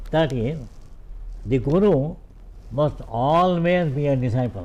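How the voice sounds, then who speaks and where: Audible room echo fills the space as a man talks at a very slow pace. His pitch is fairly high and his intonation lively. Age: 90s. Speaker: veena maestro. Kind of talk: interview conversation. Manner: halting.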